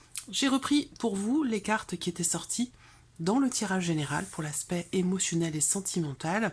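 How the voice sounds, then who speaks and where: A soft-spoken woman's somewhat breathy voice, fairly low in pitch, at a moderate pace. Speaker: tarot reader. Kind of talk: tarot reading video.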